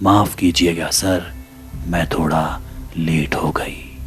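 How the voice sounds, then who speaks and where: A man does a put-on character voice with a very deep, low pitch. He goes at a fairly slow pace while music plays clearly behind him. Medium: read story.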